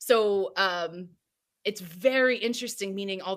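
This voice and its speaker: An unremarkable speaking voice with ordinary pitch variation, in a very clean recording with a silent background. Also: woman. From New Jersey. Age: 30s. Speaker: wellness coach. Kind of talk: interview.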